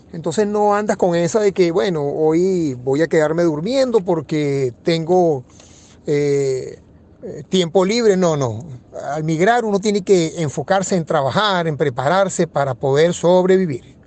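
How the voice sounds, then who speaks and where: A man speaks at a fairly slow pace in a high voice. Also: ordinary pitch variation. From Venezuela, Caracas. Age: 50s. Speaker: economist. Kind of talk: interview.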